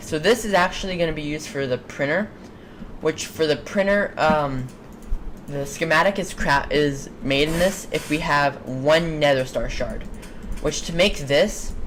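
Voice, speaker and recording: Very deep, low pitch from a woman, ordinary pitch variation, and noticeable background noise. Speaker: video game mod creator. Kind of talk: tutorial. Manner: fast; halting.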